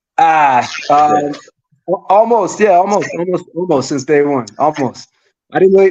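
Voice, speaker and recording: A man with a New York accent talks with ordinary pitch variation. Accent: New York accent, likened to Jersey. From New York City (Manhattan). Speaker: DJ. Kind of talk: casual chat.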